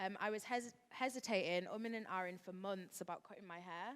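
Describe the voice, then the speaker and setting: At a fairly quick pace, a woman with a northern English accent speaks at a medium pitch with fairly even intonation. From West Yorkshire, northern England. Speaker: hair expert, panelist. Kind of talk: panel discussion.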